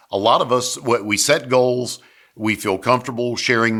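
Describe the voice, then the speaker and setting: On a very clean recording with a silent background, a man speaks at a medium pitch with a Southern US accent. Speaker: sales coach and business consultant. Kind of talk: motivational business talk to camera.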